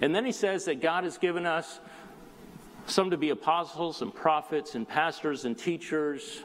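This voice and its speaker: A high-pitched man with an American accent and ordinary pitch variation. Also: moderate pace. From Southern California (South Bay, Los Angeles area). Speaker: lay preacher filling in. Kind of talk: sermon. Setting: church.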